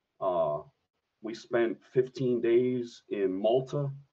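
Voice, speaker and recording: A man with a Philadelphia accent. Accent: Philadelphia American English. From Philadelphia area, US. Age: 30s. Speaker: Madden video game streamer, Marine veteran. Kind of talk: casual podcast chat.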